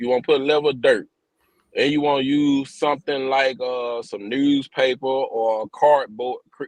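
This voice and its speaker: Moderate in pace, a man talks at a medium pitch. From rural US, grew up in the country. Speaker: outdoors livestream host. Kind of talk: casual livestream chat.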